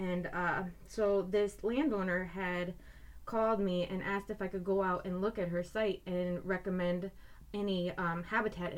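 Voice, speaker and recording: Her pitch medium and her intonation fairly even, a woman speaks at a moderate pace in an unremarkable speaking voice. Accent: American. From Iowa. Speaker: wildlife biologist. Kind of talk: casual chat. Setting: recording studio.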